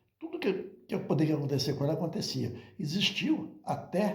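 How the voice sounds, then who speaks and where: A man speaks at a moderate pace with vocal fry, his voice carrying an audible room echo. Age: 70s. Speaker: religious teacher. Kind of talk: monologue talk.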